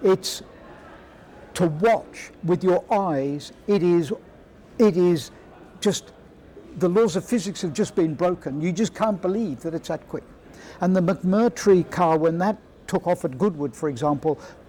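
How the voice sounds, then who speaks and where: This man's high-pitched voice has a dark, mellow tone and ordinary pitch variation, moving at a fairly slow pace with long, frequent pauses. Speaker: retired F1 aerodynamicist. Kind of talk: interview. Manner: loud.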